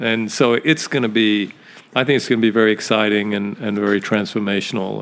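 Talking at a fairly quick pace, a man with an unremarkable speaking voice keeps a fairly low pitch and fairly even intonation. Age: 60s. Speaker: businessman and retail founder. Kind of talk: casual interview chat. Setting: home, in person.

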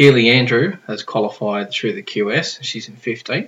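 The man talks at medium pitch in an Australian accent. His pace is very slow. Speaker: surf podcast host. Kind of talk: casual chat. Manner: laid-back.

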